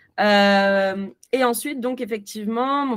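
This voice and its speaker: Speaking very slowly, a woman uses a fairly high pitch that varies in an ordinary way. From France. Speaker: film youtuber. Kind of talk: casual interview. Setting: video call.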